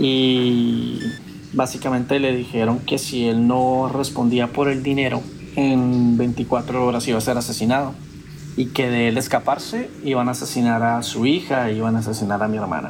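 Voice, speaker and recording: A man talks at a moderate pace with medium pitch and flat, monotone intonation. Noticeable background noise and audible room echo surround him. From Colombia, Cúcuta (Venezuelan border). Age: 30s. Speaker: traveler sharing personal story. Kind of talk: personal testimony.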